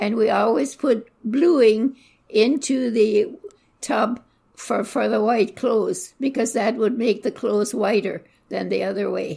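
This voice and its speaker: Talking fairly slowly, a woman with a fairly high pitch has a dark, mellow tone, vocal fry and ordinary pitch variation. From Southwestern Ontario, Canada. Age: 80s+. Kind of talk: interview answer.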